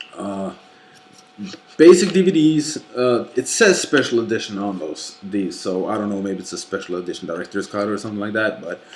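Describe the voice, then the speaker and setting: With a Norwegian accent, a man speaks fairly quickly in a fairly low pitch and lively intonation, with noticeable background noise behind him. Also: big swings in loudness. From Norway. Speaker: YouTuber / movie collector. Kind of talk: casual vlog rant. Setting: late night home recording. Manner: halting, many fillers.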